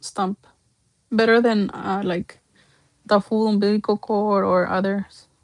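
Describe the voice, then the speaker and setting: A woman speaks with a Spanish accent at a fairly slow pace. Her fairly high-pitched voice sounds dry and close, with no echo. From Mexico. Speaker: doll artist. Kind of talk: livestream sales showcase. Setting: livestream. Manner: casual, chatty.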